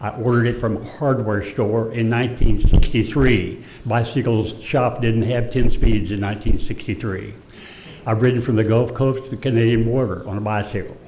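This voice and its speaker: The speaker has an American accent, a moderate pace and fairly even intonation. Background noise is noticeable, and room echo can be heard. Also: man, medium pitch for a man. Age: 80s+. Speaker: resident speaking at public comment. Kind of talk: public comment at council meeting. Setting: city council chamber. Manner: halting, with hesitations.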